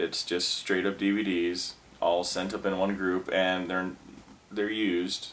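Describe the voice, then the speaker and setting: A man with a very deep, low pitch talks fairly slowly in a monotone, flat way, his loudness very even. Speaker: former video store clerk. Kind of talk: casual talk to camera. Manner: rambling, casual.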